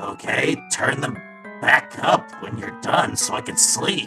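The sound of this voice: Putting on a character voice with vocal fry, a woman speaks fairly slowly at an extremely low pitch, her tone bright and sharp and her intonation lively, as faint music plays in the background.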